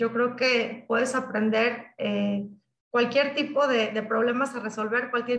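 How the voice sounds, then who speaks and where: The woman's voice is high in pitch, with monotone, flat intonation. She speaks at a very slow pace. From Michoacán, Mexico. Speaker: technology sales executive. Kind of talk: interview. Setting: video call.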